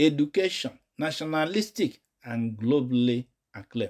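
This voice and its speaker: In a very clean recording with a silent background, a man talks in an ordinary speaking voice. His intonation is lively. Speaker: news commentator. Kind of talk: news reading with commentary.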